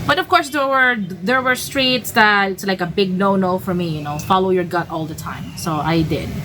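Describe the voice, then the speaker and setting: A woman talks at a moderate pace with hardly any pauses, her medium pitch carried by lively intonation. Noticeable background noise sits behind her. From Philippines. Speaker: travel vlogger. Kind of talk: casual storytelling monologue. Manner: hesitant, many fillers and restarts.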